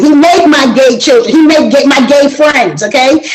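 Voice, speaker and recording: Audible room echo surrounds a woman speaking at a high pitch in an animated tone with ordinary pitch variation. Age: 60s. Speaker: panel guest on a relationship talk show. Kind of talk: casual group discussion.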